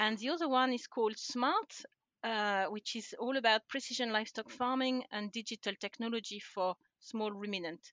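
With a French accent, a woman speaks at a moderate pace in a fairly high pitch with ordinary pitch variation. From France. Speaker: livestock scientist. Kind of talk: interview.

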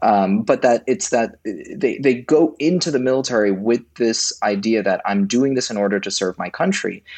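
With hardly any pauses, a man talks at a moderate pace and medium pitch in a plain, everyday voice. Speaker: democracy nonprofit director. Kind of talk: casual chat.

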